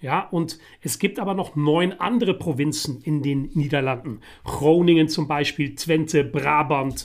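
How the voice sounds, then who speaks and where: A man's fairly high-pitched voice at a fairly slow pace, with ordinary pitch variation. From Netherlands (The Hague). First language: Dutch (speaking German). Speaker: podcast co-host. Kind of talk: casual chat.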